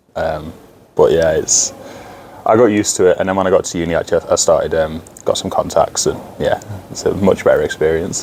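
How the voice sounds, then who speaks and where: This man speaks in a Lincolnshire accent. He keeps a fairly quick pace. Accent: northern English (Lincolnshire). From northern England, Grimsby. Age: 20s. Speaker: ice hockey player. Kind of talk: interview. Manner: hesitant, many fillers.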